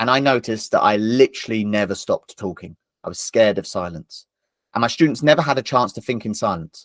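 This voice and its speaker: A man in an ordinary speaking voice at a fairly quick pace. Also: dry, close sound with no echo. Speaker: tutor and former maths teacher. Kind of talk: online training webinar.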